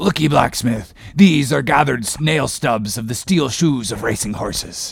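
A man's put-on character voice at a medium pitch and moderate pace. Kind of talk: classic novel audiobook reading. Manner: passionate, commanding, archaic speech.

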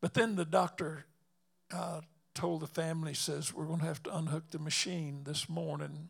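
Using a Southern US accent, a man with a fairly high pitch talks at a moderate pace in a monotone, flat intonation. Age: 80s+. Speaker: evangelist preacher. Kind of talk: sermon. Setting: church.

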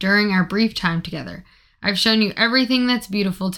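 With ordinary pitch variation, an unforced reading voice carries the passage.

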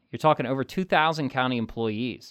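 Here a man with an American accent talks at a fairly quick pace in a normal speaking voice. His medium pitch carries lively intonation, on a very clean recording with a silent background. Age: 40s. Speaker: politician. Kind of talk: interview. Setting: studio.

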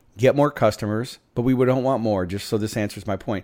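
A man speaks in a normal speaking voice with ordinary pitch variation, recorded very cleanly against a silent background. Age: 50s. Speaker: entrepreneur and keynote speaker. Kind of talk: interview.

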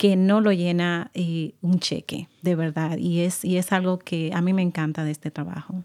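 Speaking with a Dominican accent, a woman uses a fairly low pitch and a dark, mellow tone at a fairly slow pace. The recording is very clean, with a silent background and a dry, close sound with no echo. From Dominican Republic. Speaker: nonprofit services supervisor. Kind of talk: radio interview.

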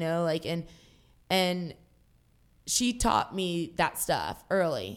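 A woman with an ordinary speaking voice, fairly low in pitch with ordinary pitch variation, is heard on a very clean recording with a silent background. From Jacksonville, Florida. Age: 30s. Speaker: pro wrestler. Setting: seated, with a broken tailbone.

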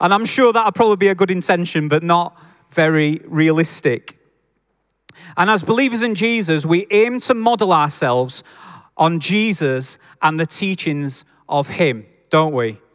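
Lively in intonation, a man with a Yorkshire accent speaks at a high pitch with very even loudness. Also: moderate pace. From Yorkshire, northern England. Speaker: preacher. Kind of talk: sermon. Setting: church with congregation. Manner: informal, friendly.

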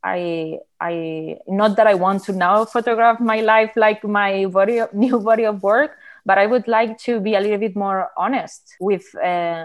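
Medium-pitched woman with a Spanish accent at a fairly slow pace, hardly any pauses and ordinary pitch variation, on a very clean recording with a silent background. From Barcelona, Spain. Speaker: artist and photographer. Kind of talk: casual conversation.

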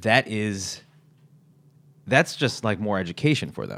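On a very clean recording with a silent background, a man with a fairly low pitch uses an ordinary speaking voice at a moderate pace. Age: 30s. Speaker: podcast host and teacher. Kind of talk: casual chat. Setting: living room.

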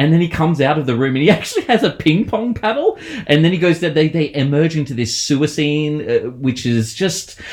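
This man talks at a fairly quick pace with hardly any pauses. His pitch is fairly high and his intonation lively. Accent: Australian. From Australia. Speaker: horror novelist. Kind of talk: casual chat. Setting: remote call.

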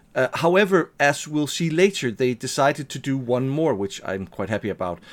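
The recording is very clean with a silent background. A man at medium pitch talks at a fairly quick pace with very wide pitch swings. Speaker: podcast co-host. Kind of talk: casual chat about a tabletop role-playing game.

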